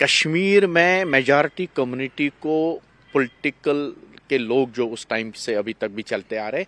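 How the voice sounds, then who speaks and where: The speech moves at a fairly slow pace with ordinary pitch variation. The sound is dry with no echo. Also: man. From Kashmir, Anantnag district; Kashmir. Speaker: Kashmiri Pandit community representative; interviewee. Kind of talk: panel discussion. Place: garden. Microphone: handheld.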